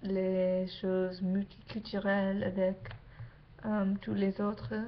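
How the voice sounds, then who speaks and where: Noticeable background noise accompanies a woman speaking with an English accent. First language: English (speaking French). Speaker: exchange student vlogger. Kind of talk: casual vlog. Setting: webcam at home late at night. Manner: halting, many hesitations.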